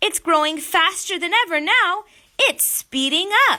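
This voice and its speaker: A woman's put-on character voice at an extremely high pitch, at a fairly slow pace. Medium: read story. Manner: sharp, snapping.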